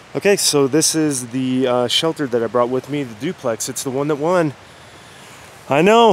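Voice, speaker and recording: The recording is dry, without echo, and light noise sits in the background. At a moderate pace, a man speaks with ordinary pitch variation. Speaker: hiker vlogger. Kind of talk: casual vlog chat. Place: forest. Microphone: phone near.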